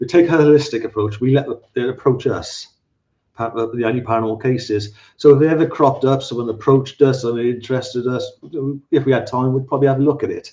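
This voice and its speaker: Speaking with a Welsh accent, a man has a dark, mellow, somewhat breathy tone at a medium pitch. He talks at a very fast pace with fairly even intonation. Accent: Welsh, slightly anglicised. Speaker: paranormal researcher. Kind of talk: live podcast interview. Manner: halting, many repetitions.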